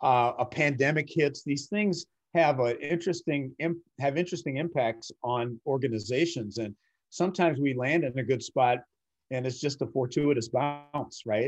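A man's plain, everyday voice with an American accent, fairly high in pitch, at a moderate pace with ordinary pitch variation, over a quiet background. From US Midwest, Minnesota (Twin Cities). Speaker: CEO and author. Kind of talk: interview.

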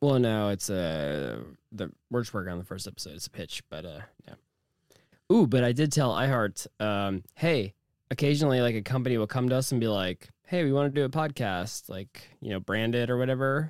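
An ordinary speaking voice from a man at medium pitch, fairly quick and lively in intonation, with big swings in loudness and a dry, close sound with no echo. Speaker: podcast host who interviews guests. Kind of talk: casual banter podcast.

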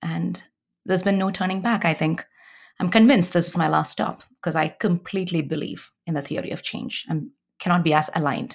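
Woman with a fairly low pitch and vocal fry at a fairly quick pace, ordinary pitch variation, in a very clean recording with a silent background. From South India (Kerala, Chennai). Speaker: nonprofit executive director. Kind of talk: interview.

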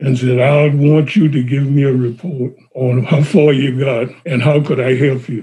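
A man's somewhat breathy, dark and mellow voice at a fairly high pitch, with an American accent and a moderate pace. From South Carolina, Johns Island. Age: 80s+. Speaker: son of civil rights activists. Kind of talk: oral history interview.

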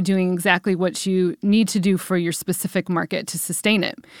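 The recording is very clean, with a silent background. Intonation is monotone and flat. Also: woman. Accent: Midwestern American. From US Midwest, Cleveland, Ohio. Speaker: entrepreneur and event venue founder. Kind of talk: interview.

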